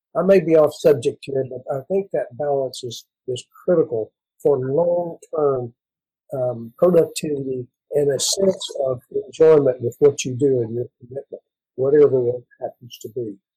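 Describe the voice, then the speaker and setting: In an American accent, a man with a fairly high pitch and a dark, mellow, somewhat breathy tone shows ordinary pitch variation and big swings in loudness, recorded dry and close with no echo. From West Texas, Mexican border. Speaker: veterinary professor. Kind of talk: panel discussion.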